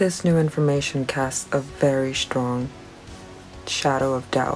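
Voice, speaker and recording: A soft-spoken woman's very deep, low voice at a fairly slow pace over music in the background. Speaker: science video creator. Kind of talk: science explainer talk to camera.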